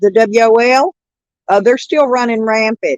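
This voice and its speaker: In a dry, close sound with no echo, a woman has an ordinary speaking voice, a fairly high pitch and a moderate pace. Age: 60s. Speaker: livestreamer. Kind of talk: casual chat.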